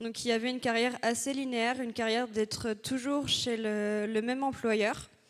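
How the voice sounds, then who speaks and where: A woman's high-pitched voice in a monotone, flat intonation at a moderate pace. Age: 20s. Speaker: engineering student. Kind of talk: conference talk. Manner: hesitant, many fillers.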